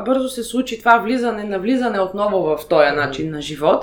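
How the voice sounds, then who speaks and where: A woman's voice amid noticeable background noise. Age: 30s. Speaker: interviewee sharing personal BDSM experience. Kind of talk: interview. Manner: halting, many fillers.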